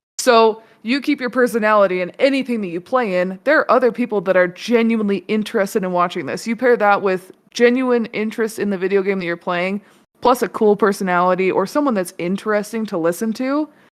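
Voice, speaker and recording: This woman talks at a very fast pace in a fairly high pitch. Her pitch varies in an ordinary way. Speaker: streamer. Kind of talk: casual chat. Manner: loud.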